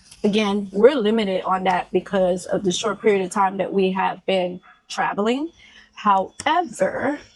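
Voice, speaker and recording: A woman's plain, everyday voice at a moderate pace. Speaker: travel vlogger. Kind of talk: casual chat.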